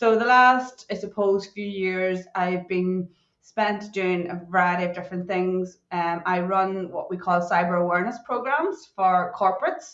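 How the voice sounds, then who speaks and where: This woman talks at a fairly slow pace in a Northern Irish accent. She hardly pauses at all. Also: medium pitch for a woman. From Northern Ireland. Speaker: cybersecurity consultant. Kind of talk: podcast interview. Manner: animated.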